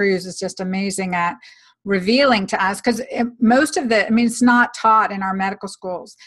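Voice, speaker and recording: Against a quiet background, a woman with a fairly high voice and fairly even intonation talks at a moderate pace. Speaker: physician and podcast host. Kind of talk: interview. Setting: video recording. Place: home room. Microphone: webcam.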